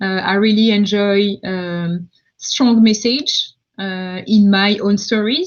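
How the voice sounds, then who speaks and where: In a French accent, the voice sounds somewhat breathy and keeps a fairly even intonation. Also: woman. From France, countryside. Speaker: tech founder, multisensory designer. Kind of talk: live Q&A. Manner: halting, many fillers.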